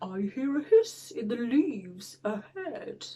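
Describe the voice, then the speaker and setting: At a fairly slow pace, a woman performs a put-on character voice set at a high pitch. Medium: read story.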